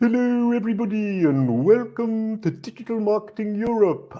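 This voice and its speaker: A put-on character voice. The pitch sits fairly high. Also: moderate pace. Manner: silly, comical.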